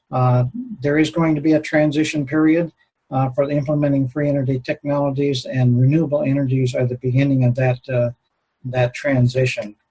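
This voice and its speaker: With an American accent, a man with fairly high pitch speaks at a fairly quick pace. His tone is dark, mellow, and somewhat breathy, and his intonation is monotone and flat. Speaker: retired aerospace engineer, conference speaker. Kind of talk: conference lecture. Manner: halting, many filler words.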